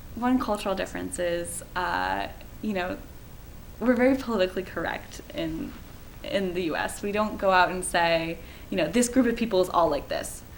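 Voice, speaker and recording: A woman with an American accent speaks at a medium pitch and moderate pace, her intonation lively and touched with vocal fry. Audible echo fills the room. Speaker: study abroad student. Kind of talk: testimony.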